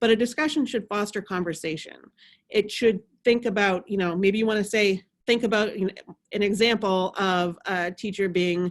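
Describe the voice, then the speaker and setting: The recording is very clean with a silent background. A woman speaks at a medium pitch with ordinary pitch variation. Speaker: instructional designer leading faculty workshop. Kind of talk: workshop presentation. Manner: fast.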